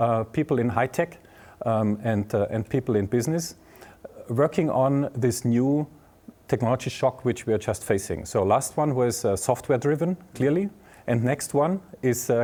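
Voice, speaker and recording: A man with a German accent, a medium pitch, a dark, mellow tone and lively intonation, at a moderate pace in a very clean recording with a silent background. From southern Germany (Bavaria). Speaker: tech executive and professor. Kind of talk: interview. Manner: halting, many fillers.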